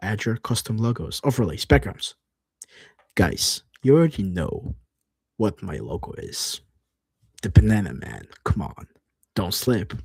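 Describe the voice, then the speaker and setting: A man's fairly low, animated voice with vocal fry, very wide pitch swings and big swings in loudness, at a fairly slow pace with long, frequent pauses. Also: dry, close sound with no echo. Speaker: streamer. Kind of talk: livestream screen walkthrough, reading aloud. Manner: casual, animated. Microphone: new dedicated microphone.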